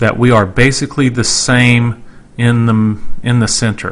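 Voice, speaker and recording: A plain, everyday voice from a man with an American accent, medium pitch and fairly even intonation. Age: 40s. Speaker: podcast host. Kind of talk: podcast introduction.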